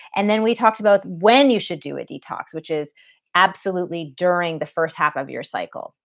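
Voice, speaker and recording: A woman's unremarkable speaking voice, fairly low in pitch, with a fairly quick pace and lively intonation. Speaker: women's health educator and author. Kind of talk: live online masterclass. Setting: live stream.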